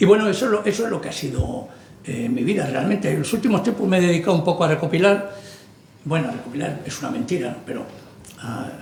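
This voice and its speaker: Speech comes at a very fast pace with very wide pitch swings, over noticeable background noise and audible room echo. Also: man, high pitch for a man. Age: 60s. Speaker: writer. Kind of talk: book presentation talk. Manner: halting, conversational.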